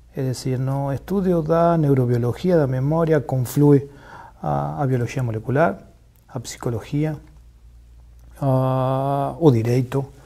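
A man's dark, mellow tone at a very slow pace, with ordinary pitch variation and a quiet background. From Argentina, Buenos Aires. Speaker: neuroscience professor. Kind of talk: interview. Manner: mixes Spanish and Portuguese, halting. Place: studio. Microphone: lapel.

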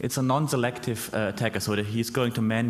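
Quick-paced and at a medium pitch, a man talks in a normal speaking voice with ordinary pitch variation. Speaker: researcher; conference presenter. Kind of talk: conference talk. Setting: stage with audience. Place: hall.

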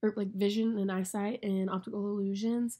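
A woman speaks at a moderate pace with a medium pitch. Her tone is dark and mellow, and her intonation is flat and monotone. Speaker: student. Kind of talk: class presentation. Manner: hesitant, many fillers.

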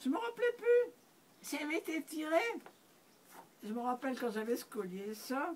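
A high-pitched woman at a moderate pace, with very wide pitch swings. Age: 80s+. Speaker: pioneer naturist. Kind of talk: interview answer. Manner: reminiscing, conversational. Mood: reminiscing. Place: home room. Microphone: camera far.

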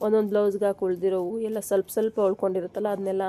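A woman's voice comes through dry and close with no echo, against noticeable background noise. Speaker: tailoring YouTuber. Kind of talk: tutorial.

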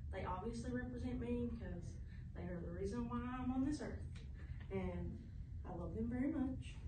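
In a Southern US accent, a woman talks at a moderate pace. Noticeable background noise and audible room echo surround her. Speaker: student presenter. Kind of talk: class presentation to camera. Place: classroom. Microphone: camera far.

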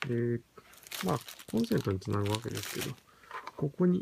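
At a moderate pace and with ordinary pitch variation, a man speaks over noticeable background noise. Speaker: product reviewer. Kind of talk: product unboxing review. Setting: home at night. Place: home room. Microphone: phone near.

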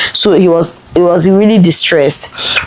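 A woman with a Nigerian accent and a fairly low pitch. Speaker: lifestyle vlogger. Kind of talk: personal storytelling vlog. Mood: emotional, earnest storytelling. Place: home room.

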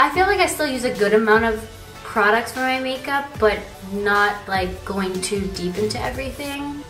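Over faint background music and with audible room echo, a woman speaks at a moderate pace. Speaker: beauty vlogger. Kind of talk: casual vlog tutorial. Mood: relaxed, playful. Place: bathroom. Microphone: phone near.

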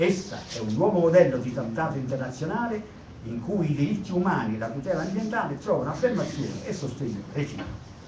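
Against noticeable background noise, a man with fairly high pitch speaks at a very fast pace with very wide pitch swings. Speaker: attendee speaker. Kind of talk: public assembly speech.

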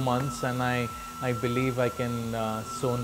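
There is noticeable background noise as a man speaks. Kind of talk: testimonial interview answer. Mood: earnest, encouraging. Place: classroom.

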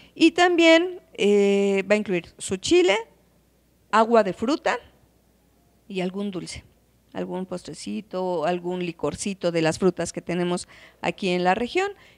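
This woman speaks at a fairly slow pace in a central Mexican accent, her medium pitch carrying lively intonation broken by long, frequent pauses. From Calpan, Puebla, Mexico; Puebla, Mexico. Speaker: hotel and restaurant owner, traditional cook. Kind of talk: interview. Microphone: handheld.

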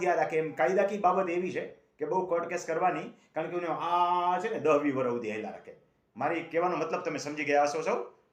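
Audible room echo carries this man's voice. He speaks at a high pitch. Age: 60s. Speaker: agricultural land-law advisor. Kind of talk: phone-in advice.

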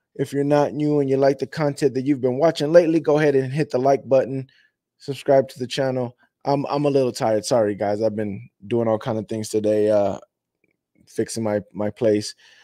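Against a quiet background, a man talks at a fairly quick pace. His tone is dark and mellow. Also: ordinary pitch variation, dry sound with no echo. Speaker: fan channel host. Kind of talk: casual show intro chat.

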